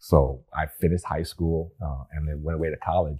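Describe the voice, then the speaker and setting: This man has a very deep, low pitch and a dark, mellow, somewhat breathy tone, with ordinary pitch variation and an American accent. The recording is very clean with a silent background. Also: dry, close sound with no echo. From US Pacific Northwest (Bremerton, Washington). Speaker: retired rocket scientist and retirement coach. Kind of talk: interview podcast. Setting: studio.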